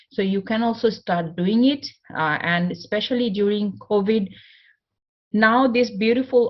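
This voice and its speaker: A woman's fairly high, somewhat breathy voice with a non-native accent, at a fairly slow pace. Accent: non-native English accent, self-described. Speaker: motivational speaker. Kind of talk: conference talk.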